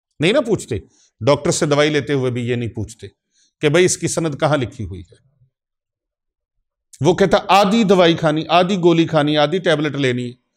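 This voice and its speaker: Heard in a very clean recording with a silent background, a man with an unremarkable speaking voice and a fairly high pitch uses lively intonation and big swings in loudness. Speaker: Islamic spiritual healer and preacher.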